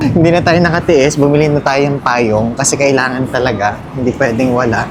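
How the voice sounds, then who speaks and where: With audible room echo and noticeable background noise, a man speaks fairly quickly at a medium pitch and very even loudness. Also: ordinary pitch variation. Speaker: travel vlogger. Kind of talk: casual vlog narration.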